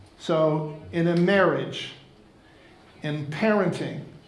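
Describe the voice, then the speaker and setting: Amid noticeable background noise and audible room echo, a man speaks at a high pitch with fairly even intonation. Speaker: keynote speaker for financial advisors. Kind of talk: conference talk.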